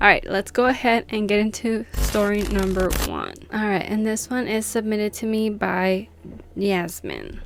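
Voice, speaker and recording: The speaker is a woman with a non-native accent and a medium pitch. She talks at a moderate pace. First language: not English. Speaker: YouTuber reading subscriber stories. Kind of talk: casual vlog chat. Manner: animated.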